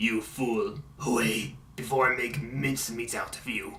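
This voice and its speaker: With clear background noise behind him, a man does a put-on character voice at medium pitch and a moderate pace. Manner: intimidating.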